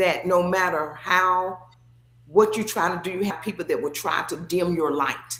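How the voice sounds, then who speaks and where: A woman with an unremarkable speaking voice, pitched in the middle of the female range. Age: 60s. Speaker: former athlete and sports figure. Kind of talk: casual chat.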